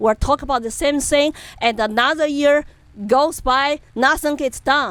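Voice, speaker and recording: In a Chinese accent, a woman talks at a moderate pace and a high pitch with ordinary pitch variation. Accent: Chinese accent, non-native English. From China, Chengdu, Sichuan. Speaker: political activist. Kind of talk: interview.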